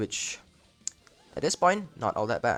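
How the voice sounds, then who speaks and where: A man speaks with music in the background. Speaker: mobile game streamer. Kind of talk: gameplay commentary. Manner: casual, halting with self-corrections.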